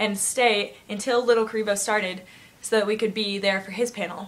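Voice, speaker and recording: At a very fast pace, a woman with a fairly high pitch talks over noticeable background noise. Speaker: vlogger. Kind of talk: casual vlog storytelling. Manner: animated.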